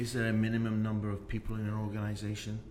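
A man talks at a very fast pace in a fairly low pitch. Audible room echo and noticeable background noise fill the recording. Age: 50s. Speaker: podcast host and business owner. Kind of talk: interview.

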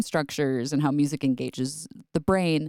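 Recorded with a dry, close sound and no echo, a woman with an American accent has a very deep, low pitch and a dark, mellow tone. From upstate New York. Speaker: music therapist. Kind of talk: interview. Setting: studio.

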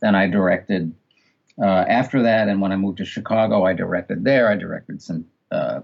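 Speaking at a moderate pace, a man with a New York accent shows ordinary pitch variation. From New York City (Queens). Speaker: audiobook director and narration coach. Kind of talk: interview conversation.

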